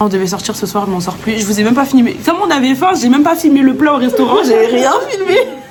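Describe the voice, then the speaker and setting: Noticeable background noise and audible room echo surround the recording. A woman speaks fairly quickly with lively intonation. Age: 20s. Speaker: vlogger. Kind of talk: casual vlog chat. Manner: animated.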